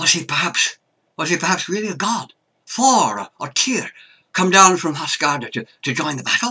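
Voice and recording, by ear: A quiet background frames lively intonation as someone reads aloud in a natural voice.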